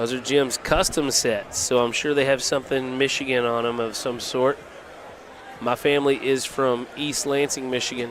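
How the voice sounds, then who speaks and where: A man with a Texan accent at medium pitch, moderate pace and monotone, flat intonation amid noticeable background noise. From Texas (Vernon, on the Red River). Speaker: cornhole commentator. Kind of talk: live commentary. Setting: livestreamed tournament.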